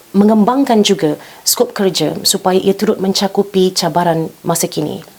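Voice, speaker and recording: A woman with a Malaysian accent, ordinary pitch variation, and a fairly slow pace over noticeable background noise. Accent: Malaysian Malay. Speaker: TV news talk show host. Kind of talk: formal current-affairs interview. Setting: studio.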